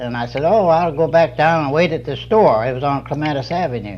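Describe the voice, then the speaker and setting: Noticeable background noise runs behind a man with an American accent. His fairly high pitch moves with ordinary variation at a moderate pace. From Georgia, USA. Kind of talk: oral history interview answer.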